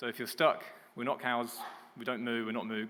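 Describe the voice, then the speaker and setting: Speaking at a fairly quick pace, a man with a British accent has a medium pitch and a bright, sharp tone. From Britain. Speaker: business development manager. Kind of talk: conference presentation. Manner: hesitant.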